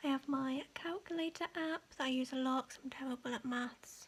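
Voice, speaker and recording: A woman speaks softly at a high pitch, with fairly even intonation. Noticeable background noise is present. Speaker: ASMR creator. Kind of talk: casual ASMR show-and-tell. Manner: soft-spoken.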